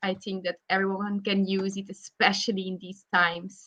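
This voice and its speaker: In a Flemish Belgian accent, a woman speaks at medium pitch. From Belgium (Flanders). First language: Flemish (Dutch). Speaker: psychologist. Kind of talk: interview. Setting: online live video stream.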